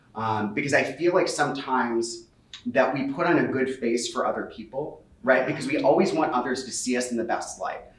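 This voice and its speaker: Someone with an American accent talks at a fairly quick pace with ordinary pitch variation, with audible room echo and noticeable background noise. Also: man, medium pitch for a man. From US Midwest, Cincinnati. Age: 30s. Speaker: author. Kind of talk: book talk conversation. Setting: in-person event with audience. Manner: fast.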